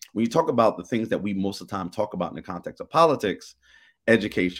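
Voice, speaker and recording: In a very clean recording with a silent background, a man speaks at a very fast pace and a fairly low pitch. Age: 50s. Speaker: state senator. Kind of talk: radio interview.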